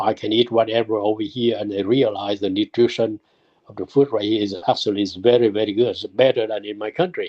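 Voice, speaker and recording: A man with a non-native accent and fairly low pitch, at a fairly quick pace, with big swings in loudness. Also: fairly even intonation. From immigrant to the US from abroad, arrived 1979. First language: not English. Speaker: immigrant sharing life story. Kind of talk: oral history interview. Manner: halting, repetitive.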